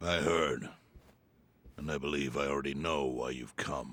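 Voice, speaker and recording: A man does a put-on character voice, raspy and very deep in pitch. He talks at a moderate pace in a flat monotone. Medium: video game. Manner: measured, grave.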